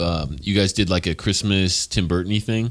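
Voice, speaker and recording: Music plays behind a man with an American accent and a very deep, low pitch. He speaks at a fairly quick pace with fairly even intonation. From US West Coast, San Jose. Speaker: podcast host. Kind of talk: casual interview chat.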